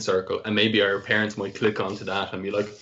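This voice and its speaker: A man with an Irish accent talks at a very fast pace and a fairly low pitch. Noticeable background noise runs behind him. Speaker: podcast host. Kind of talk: casual chat. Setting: video call.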